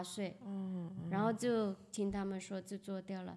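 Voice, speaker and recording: A woman talks at a moderate pace. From Guangzhou, China. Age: 50s. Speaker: visually impaired marathon runner. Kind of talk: interview storytelling. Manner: halting.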